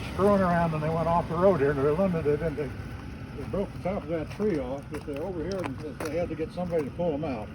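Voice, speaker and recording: This man talks at a very fast pace with a fairly high pitch and fairly even intonation. Noticeable background noise and audible room echo are present. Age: 70s. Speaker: volunteer road maintainer. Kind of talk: casual on-site interview. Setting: outdoors on a forest road.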